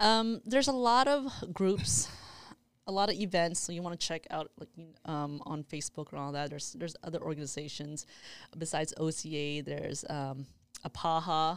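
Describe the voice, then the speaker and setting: A woman with an American accent and an unremarkable speaking voice speaks at a moderate pace, her fairly low pitch carrying lively intonation and big swings in loudness, in a very clean recording with a silent background. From Houston, Texas. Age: 30s. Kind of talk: casual chat.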